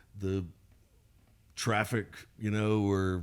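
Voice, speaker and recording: A man's fairly low voice with a Southern US accent and monotone, flat intonation. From Mississippi, US South. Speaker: singer-songwriter. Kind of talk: interview. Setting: studio. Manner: halting.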